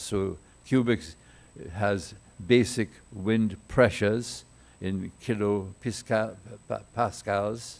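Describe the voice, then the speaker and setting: Fairly low male speech with ordinary pitch movement, recorded very cleanly against a silent background. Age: 80s+. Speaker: structural engineer. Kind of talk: conference talk. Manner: halting.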